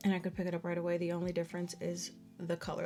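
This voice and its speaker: Music plays in the background as a woman speaks. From Dominican Republic. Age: 20s. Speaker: beauty YouTuber. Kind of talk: casual product review to camera.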